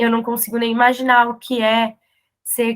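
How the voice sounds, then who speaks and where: A woman speaks in a fairly high voice. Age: 30s. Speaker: podcast host and interviewer. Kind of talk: casual conversational interview.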